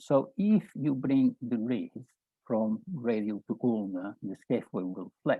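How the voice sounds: A man's medium-pitched voice with a slightly husky edge, at a fairly slow pace, in a dry, close sound with no echo. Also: ordinary pitch variation.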